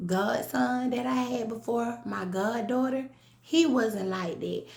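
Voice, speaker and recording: A woman with a Southern US accent speaks in an animated tone. There is audible room echo and noticeable background noise. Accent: country Southern. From US South, rural south Georgia. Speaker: vlogger. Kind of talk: casual monologue vlog.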